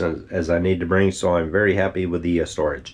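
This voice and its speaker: A man talks in a relaxed tone. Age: 60s. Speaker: retired solo cruise traveler. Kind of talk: casual travel vlog talk to camera. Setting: outdoors. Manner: relaxed, hesitant with fillers.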